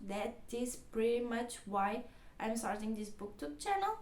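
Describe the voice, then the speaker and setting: In a Portuguese accent, a woman speaks fairly slowly at a fairly high pitch with ordinary variation. Noticeable background noise and audible room echo fill the recording. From Portugal. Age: 20s. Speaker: book vlogger. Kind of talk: casual vlog talk. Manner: halting.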